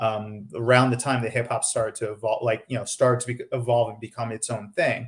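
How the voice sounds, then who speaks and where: A somewhat breathy man's voice with an American accent, medium pitch, monotone, flat intonation, a fairly quick pace and hardly any pauses. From New York, the Bronx. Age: 40s. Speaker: software developer. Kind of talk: casual chat.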